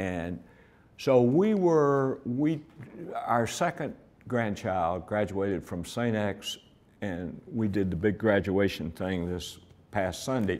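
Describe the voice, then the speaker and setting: The speaker goes at a very slow pace with long, frequent pauses and lively intonation. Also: man, fairly low pitch for a man. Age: 80s+. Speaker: retired ad agency president. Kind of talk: interview.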